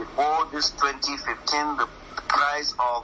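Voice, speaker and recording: Against noticeable background noise, a man with a fairly high pitch speaks fairly slowly, his intonation fairly even. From northern Nigeria (Katsina). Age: 60s. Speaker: professor, political commentator. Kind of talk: radio interview. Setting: radio studio. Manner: impassioned.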